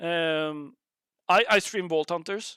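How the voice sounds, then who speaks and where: A woman's fairly low-pitched voice with a bright, sharp tone, on a very clean recording with a silent background. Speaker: game streamer and server host. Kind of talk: casual livestream talk. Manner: halting.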